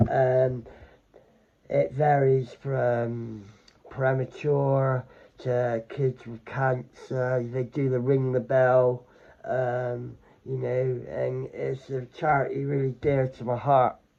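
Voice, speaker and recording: Very slow delivery in a monotone, flat intonation. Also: man. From England. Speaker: vlogger and charity fundraiser. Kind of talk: casual vlog talk.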